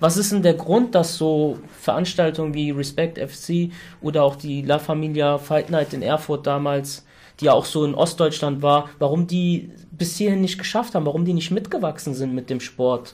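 A man with a normal speaking voice, fairly high in pitch, with ordinary pitch variation at a moderate pace. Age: 30s. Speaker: podcast host. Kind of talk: casual interview.

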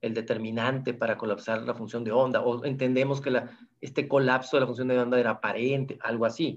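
This man's pitch sits in the medium range. He speaks very fast. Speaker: physics professor. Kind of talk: interview.

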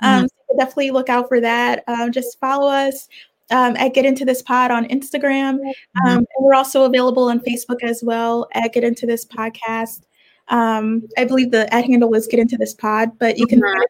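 A woman with an American accent speaks at a fairly quick pace in a high pitch with monotone, flat intonation. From Virginia, Richmond. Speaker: fashion merchandiser and podcaster. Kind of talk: casual interview.

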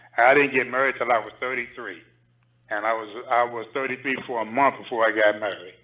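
A plain, everyday voice with an American accent moves at a fairly quick pace, its intonation fairly even. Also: man, medium pitch for a man. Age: 60s. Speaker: caller. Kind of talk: call-in discussion. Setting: call-in to live stream.

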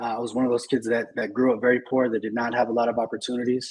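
A very fast, monotone, flat delivery from a medium-pitched man with an American accent. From California (Marina, Monterey area). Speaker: tech recruiting leader. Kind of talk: interview.

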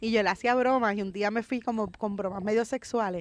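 A woman with a plain, everyday voice talks at a fairly quick pace and a fairly high pitch. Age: 40s. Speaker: comedian. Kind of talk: casual chat. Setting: outdoors in a park.

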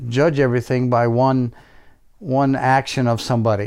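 An unremarkable speaking voice from a man with an American accent, medium in pitch, at a moderate pace. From US Midwest, military family, Missouri. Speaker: host's father. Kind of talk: interview.

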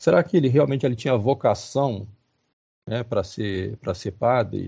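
The voice belongs to a man. It has a somewhat breathy quality. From Rio de Janeiro, Brazil. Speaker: professor. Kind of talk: lecture-style talk. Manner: halting.

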